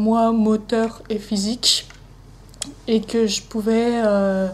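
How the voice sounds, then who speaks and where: Speaking at a very slow pace, a woman keeps a fairly high pitch and a monotone, flat intonation. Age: 20s. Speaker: interviewee with dyspraxia. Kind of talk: testimony interview. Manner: halting, many hesitations.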